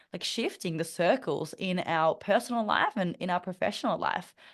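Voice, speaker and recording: Against a quiet background, a woman with an Australian accent speaks at a moderate pace in a medium pitch with ordinary pitch variation. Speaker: mentor and public speaker. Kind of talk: interview conversation. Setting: podcast. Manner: frequent fillers and restarts.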